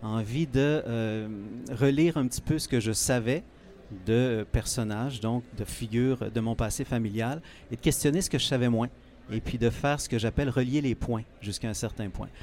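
Using a normal speaking voice, a man talks at a moderate pace and medium pitch with ordinary pitch variation. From Quebec, Eastern Townships. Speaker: author. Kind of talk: interview. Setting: book fair, live on site.

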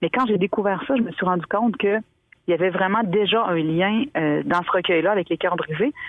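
A woman's normal speaking voice at medium pitch, fairly quick in pace, with ordinary pitch variation. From Quebec, Montmagny region. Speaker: author. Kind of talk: interview.

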